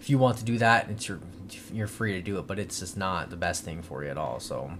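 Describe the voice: A low-pitched male voice at a fairly quick pace, with ordinary pitch variation.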